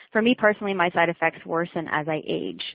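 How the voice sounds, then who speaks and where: Using an ordinary speaking voice, a woman talks at a fairly quick pace with a fairly low pitch and ordinary pitch variation. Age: 30s. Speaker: childhood cancer survivor. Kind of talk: webcast talk.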